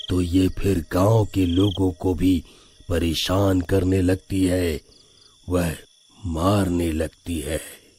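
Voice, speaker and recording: A man performs a cartoonish character voice with a very deep, low pitch. He speaks very slowly in a monotone, flat way. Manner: calm, paternal.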